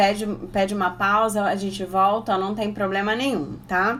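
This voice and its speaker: At a moderate pace, a woman speaks in a plain, everyday voice of medium pitch. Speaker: Portuguese teacher for exam prep. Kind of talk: online exam-prep lesson. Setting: Instagram live stream.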